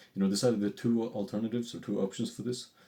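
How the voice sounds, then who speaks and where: This is a man speaking. His tone is dark and mellow. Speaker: vlogger building an online business. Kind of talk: casual video journal. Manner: fast; halting, many fillers and restarts.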